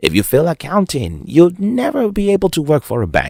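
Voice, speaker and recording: Showing vocal fry and very wide pitch swings, a man speaks at a moderate pace in a very clean recording with a silent background. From Nigeria. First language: Nigerian language, not English. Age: 30s. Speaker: motivational speaker. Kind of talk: monologue to camera.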